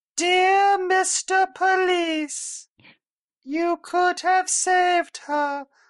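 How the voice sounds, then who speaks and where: An extremely high-pitched, put-on character voice speaks at a very slow pace. Behind it, the background is quiet. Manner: creepy, menacing.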